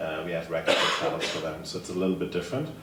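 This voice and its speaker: A man with a slight German accent speaks at a very deep, low pitch with ordinary pitch variation. Noticeable background noise and audible room echo are present. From Germany. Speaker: table tennis coach. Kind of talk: conference panel presentation.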